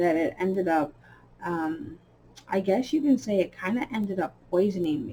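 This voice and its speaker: A woman is speaking. Her pitch sits in the middle range. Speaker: coloring channel host. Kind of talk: casual chat while coloring. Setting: home recording, early morning. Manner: hesitant, many fillers.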